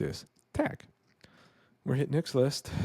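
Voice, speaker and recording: Against a quiet background, a man with a dark, mellow tone speaks at a moderate pace with ordinary pitch variation, and the sound is dry with no echo. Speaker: real estate investor; presenter. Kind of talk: screen-share tutorial. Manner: casual. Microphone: studio mic.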